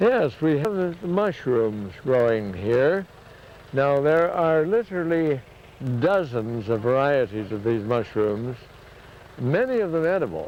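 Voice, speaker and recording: A man with a fairly high pitch and very wide pitch swings, talking at a fairly slow pace over noticeable background noise. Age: 70s. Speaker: forester. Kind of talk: casual explanation on a forest walk.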